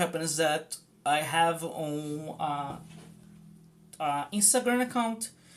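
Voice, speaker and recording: Speech with a Portuguese accent comes at a very slow pace, broken by long, frequent pauses. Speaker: streamer and rune practitioner. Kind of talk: live stream casual talk while drawing. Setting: live stream. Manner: hesitant, many fillers.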